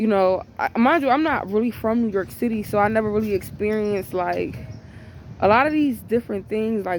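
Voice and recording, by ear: A woman's medium-pitched voice with a slightly mellow tone.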